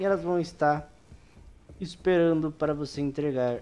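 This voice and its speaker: Over light background noise, a fairly high-pitched man with a Brazilian accent talks at a fairly slow pace. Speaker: gaming youtuber. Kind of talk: game tutorial with gameplay narration. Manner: casual, informal. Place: home room.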